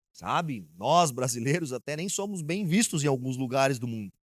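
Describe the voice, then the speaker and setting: A man talks at a fairly slow pace and medium pitch. His intonation is lively. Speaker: pastor. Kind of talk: sermon.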